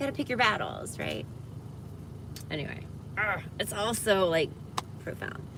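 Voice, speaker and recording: Amid audible room echo and noticeable background noise, a woman with an American accent speaks at medium pitch. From US South, Georgia (Atlanta area). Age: 50s. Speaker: livestreamer. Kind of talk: casual livestream chat.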